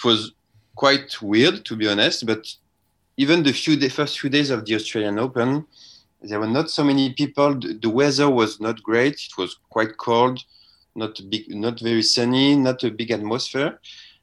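This man talks at a moderate pace with a medium-pitched voice and ordinary pitch variation. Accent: French. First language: French. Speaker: sports journalist. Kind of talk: interview. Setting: remote call from Melbourne.

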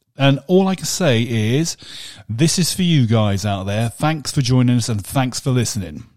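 Very clean and silent in the background, this recording has a man with an ordinary speaking voice and a medium pitch. He talks at a moderate pace with lively intonation. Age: 50s. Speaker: podcast co-host. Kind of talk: casual chat.

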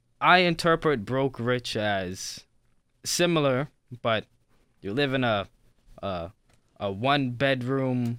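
Here a man speaks at a medium pitch with lively intonation. His tone is bright and sharp. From Toronto, Canada. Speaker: podcast guest. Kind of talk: casual chat.

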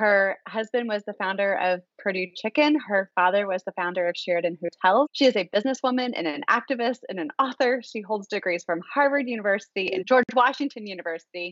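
A woman's plain, everyday voice at medium pitch, fairly quick with hardly any pauses and lively intonation. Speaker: podcast co-host and co-founder. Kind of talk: interview, podcast host.

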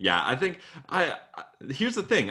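With a bright, sharp tone and some vocal fry, a man talks at a moderate pace on a very clean recording with a silent background. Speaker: sports podcast host. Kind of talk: casual chat.

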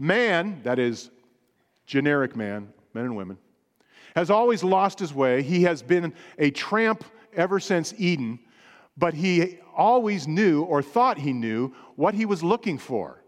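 A man speaks at a fairly slow pace with long, frequent pauses. His pitch is high and swings very widely. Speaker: pastor. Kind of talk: sermon. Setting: church.

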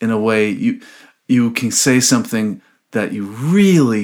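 Speaking at a fairly slow pace with an American accent, a man swings his pitch very widely in a very clean recording with a silent background. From US West Coast, Los Angeles. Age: 60s. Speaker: violinist and composer. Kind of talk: interview conversation. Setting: at home. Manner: animated.

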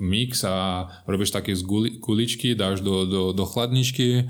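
A man with a Brazilian accent speaks at a moderate pace in a very deep, low pitch. His intonation stays fairly even. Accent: Brazilian Portuguese accent in Slovak. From Brazil, São Paulo state. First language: Portuguese (speaking Slovak). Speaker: hotel general manager. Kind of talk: casual interview.

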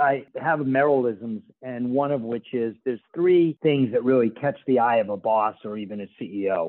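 With an American accent, a man talks at a moderate pace in a plain, everyday voice, his medium pitch showing ordinary pitch variation. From Boston, US. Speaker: podcast host, research company CEO. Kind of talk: interview.

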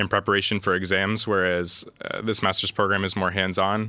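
With a Midwestern American accent, the speaker talks fairly quickly in a bright, sharp tone and flat, monotone intonation, recorded very cleanly against a silent background. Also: man. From US Midwest, Columbus, Ohio. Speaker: master's student. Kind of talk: casual interview chat.

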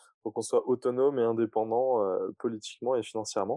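A man with an unremarkable speaking voice, medium pitch and a fairly quick pace. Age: 30s. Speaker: climate startup co-founder. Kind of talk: casual interview.

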